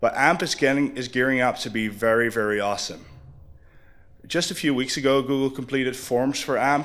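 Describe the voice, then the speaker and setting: Recorded very cleanly against a silent background, a man at medium pitch speaks fairly quickly with ordinary pitch variation. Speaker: conference speaker. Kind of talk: conference talk. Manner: fast.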